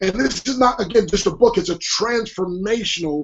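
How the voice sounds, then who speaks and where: This man's voice sits high in pitch, with lively intonation. His tone is animated. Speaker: motivational speaker and author. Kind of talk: interview. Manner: fast.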